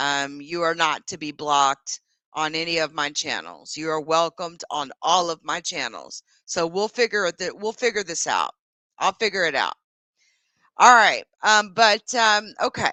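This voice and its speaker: Lively in intonation, a woman with a fairly low pitch and an unremarkable speaking voice talks at a moderate pace. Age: 40s. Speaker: YouTuber. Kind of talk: livestream chat. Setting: livestream. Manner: casual, with many fillers.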